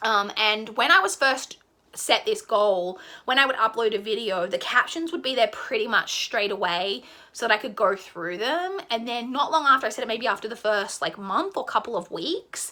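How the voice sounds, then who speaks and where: A woman's bright, sharp tone with an Australian accent, fairly high in pitch with lively intonation. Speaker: book vlogger. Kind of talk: casual monologue to camera. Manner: fast.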